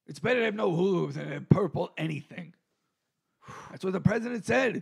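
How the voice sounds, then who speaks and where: Raspy and quick, a put-on character voice moves along at a fairly quick pace. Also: man, high pitch for a man. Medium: comedy sketch. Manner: rambling, halting, full of fillers.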